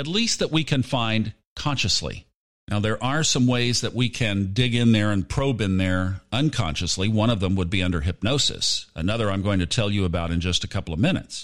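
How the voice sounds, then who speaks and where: Speaking at a fairly quick pace, a man with a fairly low pitch uses lively intonation. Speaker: podcast host and audiobook narrator. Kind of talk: casual solo monologue. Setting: remote microphone while traveling.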